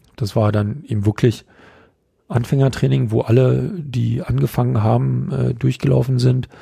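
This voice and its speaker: His dark, mellow tone sits fairly low, somewhat breathy, as this man's pitch swings very widely. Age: 50s. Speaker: kendo trainer. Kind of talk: casual interview. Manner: halting, many fillers.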